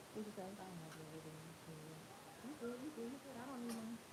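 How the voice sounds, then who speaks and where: A woman talking very fast, her pitch fairly high, with noticeable background noise. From Tennessee. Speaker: hair braider. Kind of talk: livestream tutorial. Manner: loud; casual, animated.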